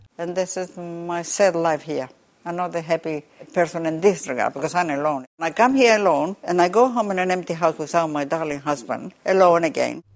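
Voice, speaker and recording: In a Spanish accent, a woman with a fairly low pitch speaks at a fairly quick pace with ordinary pitch variation on a very clean recording with a silent background. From Chile. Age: 80s+. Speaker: umbrella maker. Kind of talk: interview. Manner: halting.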